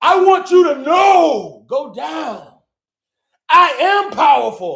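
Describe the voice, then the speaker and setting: Shouting in a put-on character voice, the speaker goes at a very slow pace with an extremely high pitch. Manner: firm, commanding.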